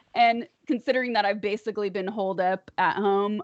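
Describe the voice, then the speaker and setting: Speaking in an unremarkable speaking voice, a woman keeps to a moderate pace. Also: dry, close sound with no echo. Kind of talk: casual chat. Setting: live stream.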